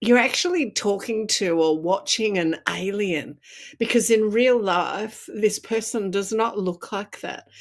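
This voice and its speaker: At a fairly slow pace, a woman with a medium-pitched voice speaks with an Australian accent and ordinary pitch variation. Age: 60s. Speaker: makeup artist and speaker. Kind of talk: interview.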